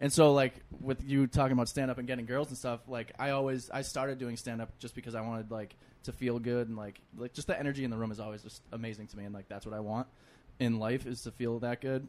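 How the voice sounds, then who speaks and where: Talking at a very fast pace, a man with a Boston accent keeps a medium pitch and fairly even intonation, with big swings in loudness. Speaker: comedian. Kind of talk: casual chat.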